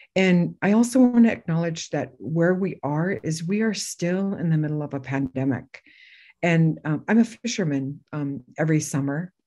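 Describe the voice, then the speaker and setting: Against a quiet background, a woman with a fairly low pitch and a dark, mellow tone speaks at a moderate pace with lively intonation. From Alaska, Bethel (Yup'ik). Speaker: former lieutenant governor. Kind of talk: land acknowledgement speech.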